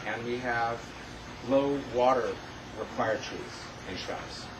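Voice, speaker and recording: Noticeable background noise surrounds a man whose pitch varies in an ordinary way. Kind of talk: answer at community meeting. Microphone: camera far.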